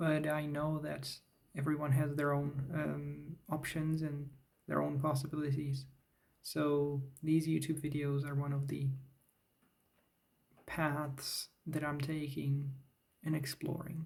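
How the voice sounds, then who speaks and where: A man speaks very slowly in a fairly high pitch with a monotone, flat intonation. His voice is somewhat breathy, and the room has audible echo. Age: 30s. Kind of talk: talking head vlog. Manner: halting, with fillers.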